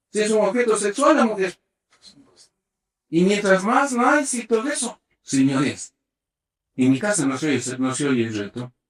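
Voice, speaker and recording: At a fairly slow pace with long, frequent pauses, a man talks in a high, animated voice with very wide pitch swings. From Ecuador. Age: 60s. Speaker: sports medicine doctor. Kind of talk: interview. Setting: sports medicine center at a velodrome.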